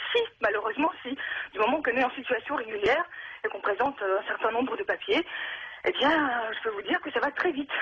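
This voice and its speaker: Speaking very fast between long, frequent pauses, a woman uses lively intonation in a high voice. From Russia. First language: Russian (speaking French). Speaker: radio caller. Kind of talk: call-in radio testimony. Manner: halting, many hesitations.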